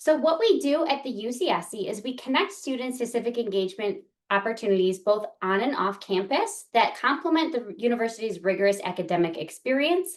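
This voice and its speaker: In a strong Chicago accent, a woman talks at a fairly quick pace with hardly any pauses, her fairly high pitch swinging very widely. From US Midwest, South Side of Chicago. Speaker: university staff member. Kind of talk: presentation. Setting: webinar.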